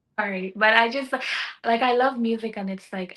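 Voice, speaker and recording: Ordinary pitch variation from a woman with a Jamaican accent. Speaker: singer-songwriter. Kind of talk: casual interview chat. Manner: halting, many fillers and repeats.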